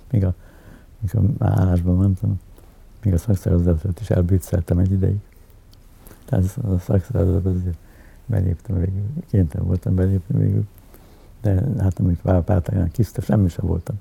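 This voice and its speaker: A man with a very deep, low pitch talks at a fairly quick pace, but with long, frequent pauses. His loudness stays very even, and his pitch varies in an ordinary way. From Hungary, Budapest. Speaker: editor and politician. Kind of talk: interview, personal reminiscence. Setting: at home in his apartment. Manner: halting, many filler sounds and repetitions.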